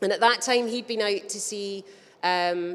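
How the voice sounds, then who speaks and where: A woman with a Scottish accent speaks at medium pitch with fairly even intonation. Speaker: business chamber representative. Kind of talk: conference talk. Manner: fast.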